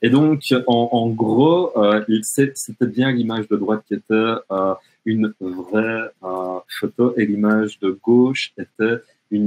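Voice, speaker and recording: A man talks very slowly, his fairly low voice showing ordinary pitch variation. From French-speaking Canada. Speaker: educational technology trainer. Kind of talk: webinar presentation. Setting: online webinar. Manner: hesitant, many fillers.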